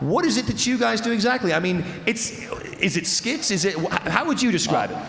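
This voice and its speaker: A loud, animated man with a high voice talks at a fairly quick pace, his pitch swinging very widely, with audible room echo and noticeable background noise. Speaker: festival stage host. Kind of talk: live stage hosting. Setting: stage with audience.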